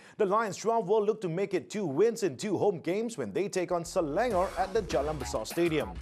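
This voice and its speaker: Music sits in the background behind a man. His tone is energetic, his intonation lively. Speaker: football TV presenter, voiceover artist. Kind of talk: TV sports news presenting. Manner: polished, energetic broadcast delivery.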